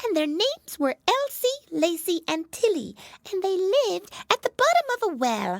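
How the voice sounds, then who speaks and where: A put-on character voice, squeaky and extremely high, swings very widely in pitch at a moderate pace. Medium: read story. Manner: sleepy.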